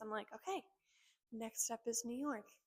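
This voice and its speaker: A woman with an American accent speaks quietly at a fairly high pitch. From North Jersey, US. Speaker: esthetician. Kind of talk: casual vlog talk. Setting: at work.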